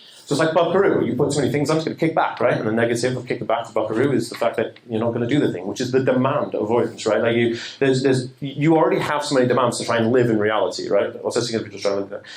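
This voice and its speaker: A man with a medium pitch talks at a very fast pace with hardly any pauses and ordinary pitch variation. The recording carries noticeable background noise and audible room echo. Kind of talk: seminar talk. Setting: stage with audience.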